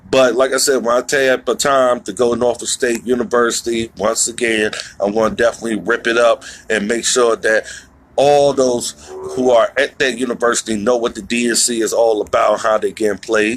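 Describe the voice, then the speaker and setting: A man with an American accent speaks at a moderate pace and medium pitch, his pitch varying in an ordinary way over noticeable background noise. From Virginia, Southside (Halifax County area). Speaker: political candidate. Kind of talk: live-stream town hall Q&A. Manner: casual, conversational.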